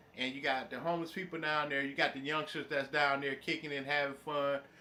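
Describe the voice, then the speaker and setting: The speech moves at a fairly quick pace in a monotone, flat intonation against noticeable background noise. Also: man. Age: 40s. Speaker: YouTuber. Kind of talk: live stream chat. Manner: rambling.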